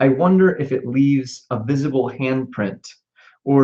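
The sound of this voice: Reading in an unforced voice, ordinary in pitch movement, with a quiet background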